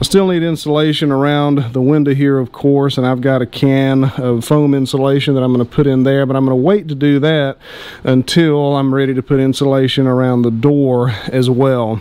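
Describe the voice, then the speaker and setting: Male speech at a fairly quick pace, with fairly even intonation, very even loudness and a dry sound with no echo. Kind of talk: casual vlog chat. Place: home room. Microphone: phone near.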